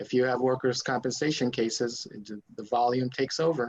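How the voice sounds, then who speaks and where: A man talks at a moderate pace with a medium pitch. He has a Spanish accent and a monotone, flat intonation. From Mexico and El Paso, Texas. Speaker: lawyer. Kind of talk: interview. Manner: halting, many fillers.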